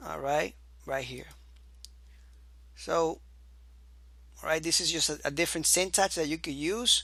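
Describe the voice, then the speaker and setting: Moderate pace broken by long, frequent pauses, in a very clean recording with a silent background. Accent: non-native. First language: not English. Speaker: programming instructor. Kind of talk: tutorial. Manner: halting.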